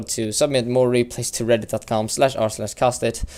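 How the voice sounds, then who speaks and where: A man of medium pitch speaks with a non-native accent. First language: not English. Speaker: video game caster. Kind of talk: live game commentary. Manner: halting, many fillers.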